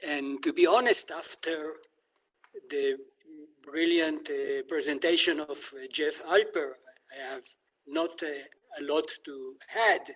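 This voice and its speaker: A very slow delivery with ordinary pitch variation, long, frequent pauses and big swings in loudness. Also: man, fairly high pitch for a man. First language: not English. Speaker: city council member and activist. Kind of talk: online panel talk. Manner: halting, many hesitations.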